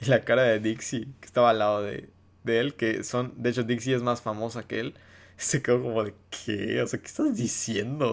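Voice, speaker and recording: A man with an unremarkable speaking voice, medium pitch, fairly even intonation and a moderate pace, in a very clean recording with a silent background. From Mexico, Yucatán. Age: 20s. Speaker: TikToker and podcast host. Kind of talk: casual solo monologue. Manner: relaxed, low-key.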